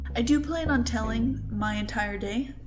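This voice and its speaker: A woman at a fairly slow pace, with audible room echo and music in the background. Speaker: vlogger. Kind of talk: casual vlog talk. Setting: indoors in own room. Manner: rambling.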